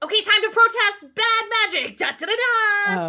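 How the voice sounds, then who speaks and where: In a put-on character voice, a female-sounding speaker talks at a moderate pace with an extremely high pitch. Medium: actual play. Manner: halting, slightly robotic.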